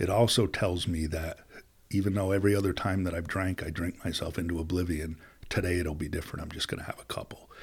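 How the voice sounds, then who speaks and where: Speaking at a very fast pace with an American accent, a man has a very deep, low pitch. His voice is somewhat breathy, with fairly even intonation. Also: very clean recording, silent background. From US Northeast, upstate New York (Plattsburgh). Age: 50s. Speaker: business executive and recovery advocate. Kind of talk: casual interview.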